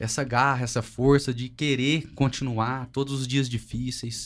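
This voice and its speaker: A man's medium-pitched, monotone, flat delivery at a very slow pace, in a very clean recording with a silent background. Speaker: family business manager. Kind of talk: family podcast conversation.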